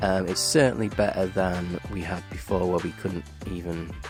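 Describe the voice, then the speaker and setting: Music plays in the background as a man talks. His pitch is very deep and low, and his pace fairly slow. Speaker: music composer and YouTuber. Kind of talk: casual tutorial talk to camera.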